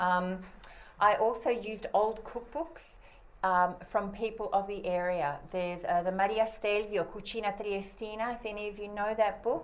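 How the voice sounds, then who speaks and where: A woman with an Australian accent, medium-pitched, at a moderate pace with ordinary pitch variation and audible room echo. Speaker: cookbook author presenting her book. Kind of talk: talk to an audience. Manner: casual, many fillers and restarts.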